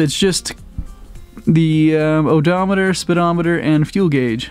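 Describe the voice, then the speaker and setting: A man's high-pitched voice at a fairly slow pace, with faint background music and a dry, echo-free sound. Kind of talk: casual vlog chat. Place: garage. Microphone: phone near.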